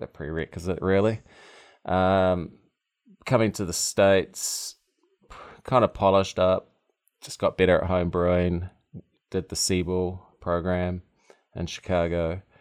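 Speaking at a fairly slow pace, a man with a very deep, low pitch and a slight New Zealand accent keeps his intonation fairly even. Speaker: brewery founder. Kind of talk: casual interview chat.

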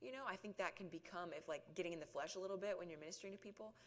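Talking at a very fast pace, a woman speaks in a Southern US accent. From US South (rural South Georgia). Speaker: ministry outreach worker. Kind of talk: testimony.

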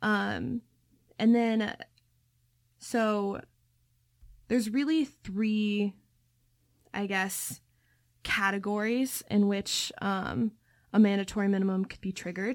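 Very slow speech with an American accent, ordinary pitch variation and long, frequent pauses, on a very clean recording with a silent background. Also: woman, medium pitch for a woman. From Ohio. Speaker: student co-host. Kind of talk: student podcast discussion.

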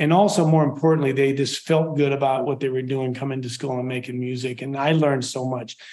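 Talking at a very fast pace with hardly any pauses, a man holds fairly even intonation at a fairly high pitch over noticeable background noise. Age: 60s. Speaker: percussion professor. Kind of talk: interview. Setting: video call.

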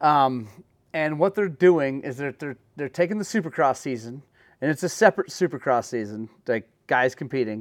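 Recorded very cleanly with a silent background and a dry, close sound with no echo, a man with an American accent and an unremarkable speaking voice speaks at a fairly high pitch and moderate pace with lively intonation. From Oklahoma. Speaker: podcast host. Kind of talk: casual chat.

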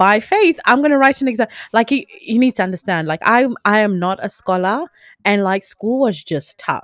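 With a normal speaking voice, a woman at fairly high pitch talks at a moderate pace with lively intonation, recorded dry and close with no echo on a very clean track with a silent background. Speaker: podcast co-host. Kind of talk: casual faith conversation.

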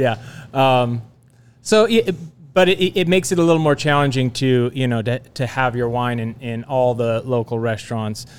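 A man with an unremarkable speaking voice and an American accent, medium pitch, ordinary pitch variation and a moderate pace, on a very clean recording with a silent background. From Napa Valley, California. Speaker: winemaker. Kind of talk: casual chat.

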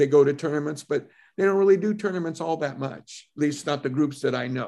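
Against a quiet background, a man speaks in a normal speaking voice. His pitch is fairly high, with ordinary variation. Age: 60s. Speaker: martial arts instructor. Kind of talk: casual interview chat.

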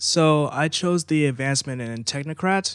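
This man has an unremarkable speaking voice, pitched fairly high, with ordinary pitch variation. It is a very clean recording against a silent background. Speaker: player in tabletop game. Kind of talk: casual chat, tabletop game podcast.

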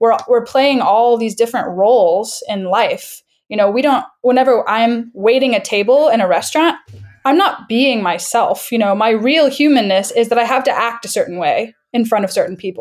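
Using a plain, everyday voice, a woman speaks at a moderate pace and a fairly high pitch with lively intonation. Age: 20s. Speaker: aspiring actor. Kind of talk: casual chat. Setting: online call.

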